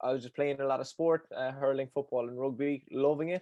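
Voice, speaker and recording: A man with a strong Cork accent, a dark, mellow tone and a fairly high pitch, at a fairly quick pace with a dry, close sound and no echo. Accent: Cork Irish, thick. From Ireland, Cork. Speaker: endurance coach. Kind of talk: podcast interview. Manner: fast; high energy.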